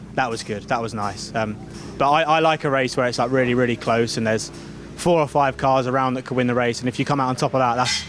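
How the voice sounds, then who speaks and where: Words come at a very fast pace with ordinary pitch variation. Noticeable background noise is present. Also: man. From United Kingdom. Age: 20s. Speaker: racing driver. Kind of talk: interview answer. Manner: casual, hesitant.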